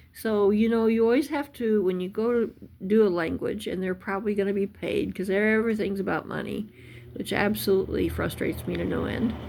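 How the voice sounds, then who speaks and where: A woman speaks at medium pitch with ordinary pitch variation. Her pace is fairly quick. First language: not Russian. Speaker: language learning youtuber. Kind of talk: tutorial. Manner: halting.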